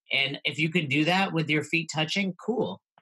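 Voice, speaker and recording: The voice has a bright, sharp tone, moves at a fairly quick pace, and shows ordinary pitch variation. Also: man. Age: 40s. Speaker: CrossFit coach and podcast host. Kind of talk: casual chat.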